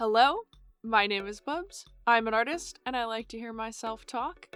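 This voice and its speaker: A woman speaks at a fairly high pitch over music in the background. The sound is dry and close, with no echo. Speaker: artist and video creator. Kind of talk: casual unscripted monologue. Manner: casual, conversational.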